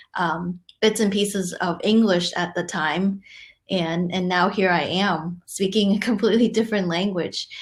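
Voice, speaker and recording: Somewhat breathy speech in a Cantonese accent, fairly even in intonation, at a moderate pace, on a very clean recording with a silent background. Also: woman, medium pitch for a woman. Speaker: conversation host. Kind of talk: hosting a live virtual chat. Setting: virtual session.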